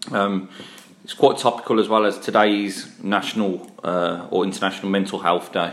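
A man speaks at a fairly low pitch in a Brummie accent. His pace is moderate and his intonation fairly even. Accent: Brummie (Birmingham). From Birmingham, England. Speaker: podcast host. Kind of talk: casual chat.

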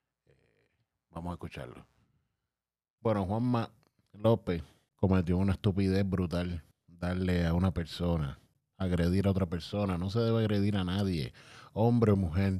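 Speaking at a moderate pace with a Puerto Rican accent, a man with a dark, mellow tone and very deep, low pitch pauses long and often, recorded very cleanly against a silent background. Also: ordinary pitch variation. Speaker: youtuber and podcaster. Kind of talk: casual commentary monologue. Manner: hesitant, many fillers.

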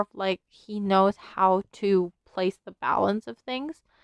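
Very slow speech from a woman, pitch varying in an ordinary way. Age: 20s. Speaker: solo podcast host. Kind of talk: casual solo monologue. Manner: halting, many fillers and restarts.

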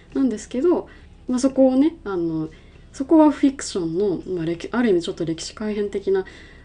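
A woman's fairly high, dark, mellow voice at a fairly quick pace, with very wide pitch swings and big swings in loudness. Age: 20s. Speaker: podcast co-host, film company employee. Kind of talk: casual chat.

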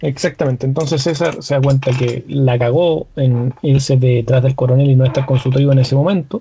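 A man with a Chilean accent speaks at a fairly quick pace with hardly any pauses, his voice somewhat breathy with a dark, mellow tone. His loudness stays very even and his intonation fairly even. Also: medium pitch for a man. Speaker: podcast co-host. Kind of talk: casual chat.

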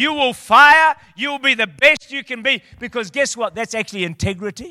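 In a raised, projected voice, a man with an extremely high pitch and a bright, sharp tone speaks animatedly at a moderate pace in a dry, close sound with no echo. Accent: New Zealand. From New Zealand. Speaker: visiting preacher. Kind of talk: sermon. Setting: church.

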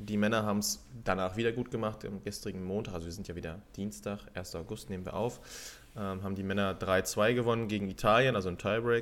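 The speaker talks very fast. The intonation stays fairly even. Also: man, fairly low pitch for a man. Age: 30s. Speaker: beach volleyball podcast co-host. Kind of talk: casual chat.

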